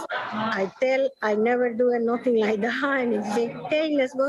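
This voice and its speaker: A woman's high-pitched voice at a moderate pace, with ordinary pitch variation and noticeable background noise. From Venezuela. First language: Spanish. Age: 50s. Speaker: culinary program graduate. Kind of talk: testimony. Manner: halting.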